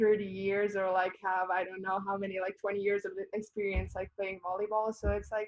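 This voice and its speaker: Here a woman with a Bosnian accent talks at a fairly quick pace. Her medium pitch stays monotone and flat. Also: hardly any pauses. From Bosnia and Herzegovina. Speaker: college volleyball player. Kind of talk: interview.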